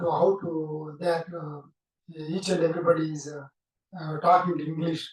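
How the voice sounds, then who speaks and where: A man with a Telugu accent speaks at a moderate pace in a fairly high pitch. His intonation is monotone and flat, yet his loudness swings widely. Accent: Telugu-accented English, non-native. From India, Andhra Pradesh (Bapatla). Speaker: whistling musician. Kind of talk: interview, life story. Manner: halting, many fillers.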